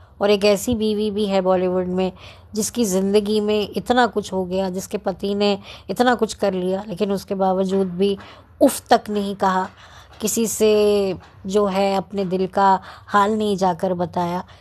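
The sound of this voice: A woman speaks at a fairly slow pace and a medium pitch. Her tone is slightly mellow, with little pitch movement.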